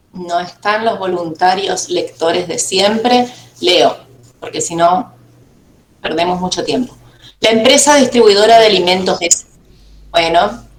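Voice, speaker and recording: A woman speaks at a fairly slow pace with long, frequent pauses, her pitch medium and its variation ordinary. Light background noise and audible room echo are present. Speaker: university lecturer. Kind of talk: online class. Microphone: video call.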